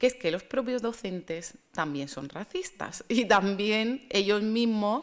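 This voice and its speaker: In a very clean recording with a silent background, a woman speaks at a fairly slow pace with a fairly high pitch and lively intonation. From Spain, Murcia. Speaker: speaker on racism and African storytelling. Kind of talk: conference talk. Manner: hesitant, with fillers and repetitions.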